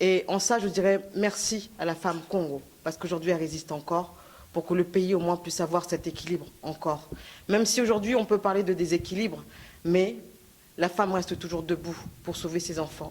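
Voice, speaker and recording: The speaker moves at a fairly quick pace with fairly even intonation. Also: woman, fairly low pitch for a woman. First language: Lingala or Kikongo heritage, French most comfortable (speaking French). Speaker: activist speaker. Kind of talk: conference speech. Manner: halting, many fillers.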